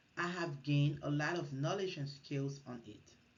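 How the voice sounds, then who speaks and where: A woman speaks in a very deep, low voice at a moderate pace. Audible room echo surrounds her. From Liberia. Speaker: MBA student. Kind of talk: class presentation. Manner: formal.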